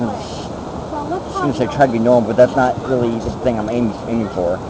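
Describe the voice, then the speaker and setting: A man talks very fast at a medium pitch. Audible room echo and noticeable background noise fill the recording. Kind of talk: casual chat. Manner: halting, repeats words.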